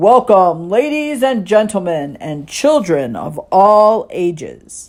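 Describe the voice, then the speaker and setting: A booming, put-on character voice sits at a middle pitch. It moves along at a fairly slow pace. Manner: showy announcing.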